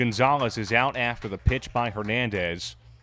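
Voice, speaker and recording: A man speaks with ordinary pitch variation while music plays in the background. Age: 20s. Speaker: play-by-play commentator. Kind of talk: live sports commentary. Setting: ballpark with crowd.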